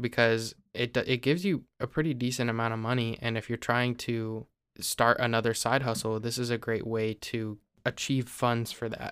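On a very clean recording with a silent background, a man with a Midwestern US accent talks at a moderate pace, medium pitch and fairly even intonation. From Ohio. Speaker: podcast co-host. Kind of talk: casual chat.

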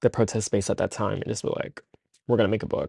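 In a normal speaking voice, a man with an American accent talks at a fairly low pitch with fairly even intonation, the sound dry and close with no echo and the background quiet. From Central New Jersey (Trenton). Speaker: documentary photographer. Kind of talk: casual interview.

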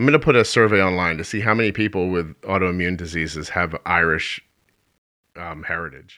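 Over a quiet background, a man with a Philadelphia accent speaks at a very deep, low pitch in a bright, sharp tone with ordinary pitch variation. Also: fairly quick pace. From Philadelphia, US. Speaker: podcast host. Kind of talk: casual conversation.

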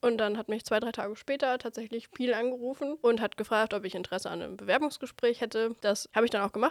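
A woman with fairly high pitch talks at a very fast pace with ordinary pitch variation. The sound is dry and close with no echo, on a very clean recording with a silent background. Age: 20s. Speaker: trainee at a wholesale company. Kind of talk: casual interview. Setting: studio.

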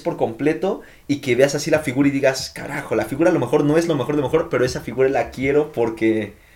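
Over noticeable background noise, a man with a fairly high pitch talks at a very fast pace. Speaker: podcast host. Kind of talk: casual chat.

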